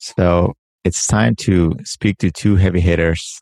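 A man talks with a very deep, low pitch and fairly even intonation. The sound is dry and close, with no echo. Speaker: podcast co-host. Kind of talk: interview.

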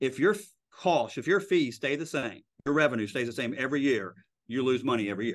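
A man talks at a medium pitch. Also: quiet background. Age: 50s. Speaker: real estate broker and lawyer. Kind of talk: interview.

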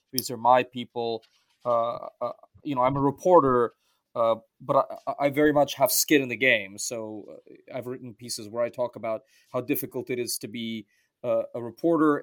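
In a very clean recording with a silent background and a dry, close sound with no echo, a man with an American accent and a plain, everyday voice speaks at a moderate pace and medium pitch with fairly even intonation. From US, Russian-speaking diaspora. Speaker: journalist and cultural commentator. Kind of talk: interview.

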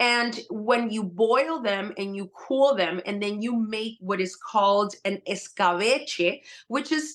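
The woman has an unremarkable speaking voice, fairly high in pitch. She talks at a fairly slow pace. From Puerto Rican household, US. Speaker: holistic health coach and cookbook author. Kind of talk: interview.

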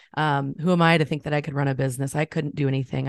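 Over a quiet background, a woman with an American accent sounds animated, the sound dry and close with no echo. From US Midwest, central Illinois. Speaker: photographer and coach. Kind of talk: interview testimony. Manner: animated, frequent giggles.

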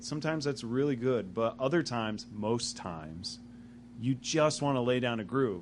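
Delivered at a moderate pace, an ordinary speaking voice shows ordinary pitch variation. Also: man. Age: 30s. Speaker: magazine interviewer and jazz saxophonist. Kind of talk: casual interview. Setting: music venue.

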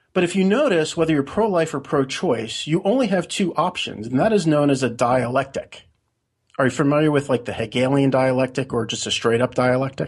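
A man's fairly high, somewhat breathy voice with lively intonation at a fairly quick pace, over a quiet background. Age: 40s. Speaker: blogger and conspiracy theorist. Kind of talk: interview.

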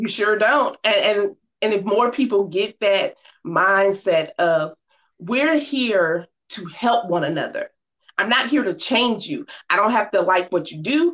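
A fairly high-pitched woman with an American accent, animated in tone, with lively intonation at a fairly slow pace. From Norfolk, Virginia. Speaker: keynote speaker and author. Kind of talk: casual interview chat.

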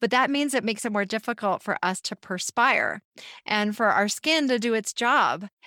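Very clean with a silent background and a dry, close sound with no echo, a woman with an unremarkable speaking voice talks at a moderate pace and a fairly high pitch. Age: 40s. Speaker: naturopathic physician. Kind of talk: interview.

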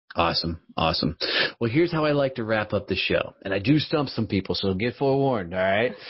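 Speaking at a very fast pace, a man sounds somewhat breathy. The intonation is lively. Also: medium pitch for a man. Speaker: podcast host. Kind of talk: casual interview.

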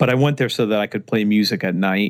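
A man has an ordinary speaking voice with an American accent and fairly low pitch. His intonation is fairly even, and the sound is dry and close with no echo. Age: 40s. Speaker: sales author and speaker. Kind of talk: interview conversation.

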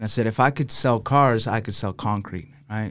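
This very clean recording with a silent background features a man with a plain, everyday voice. He speaks at a medium pitch and a fairly quick pace. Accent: American. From Los Angeles, raised mostly in Salt Lake City, Utah. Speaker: contractor and business owner. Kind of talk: casual chat.

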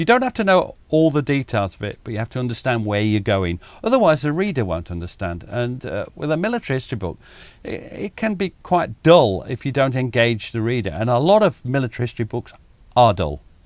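The speaker's pitch swings very widely at a fairly quick pace. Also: man, medium pitch for a man. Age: 60s. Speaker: military historian. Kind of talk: casual chat.

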